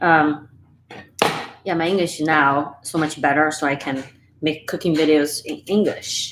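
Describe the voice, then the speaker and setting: Very deep and low in pitch, a woman speaks at a fairly slow pace with fairly even intonation and long, frequent pauses. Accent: Chinese. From Sichuan, China. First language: Chinese. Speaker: home cooking YouTuber. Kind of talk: live-stream cooking tutorial and chat. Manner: casual, halting with fillers.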